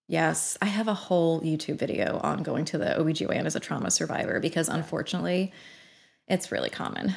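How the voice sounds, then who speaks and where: A woman with a fairly low pitch and vocal fry speaks at a moderate pace. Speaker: OB-GYN doctor and social media educator. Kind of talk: casual interview about sex health. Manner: animated, chatty.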